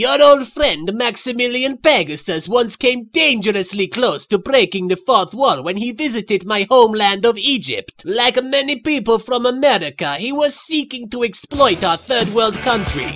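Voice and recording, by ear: A man uses a cartoonish character voice with an extremely high pitch and a bright, sharp tone. He moves at a moderate pace with few pauses and lively intonation.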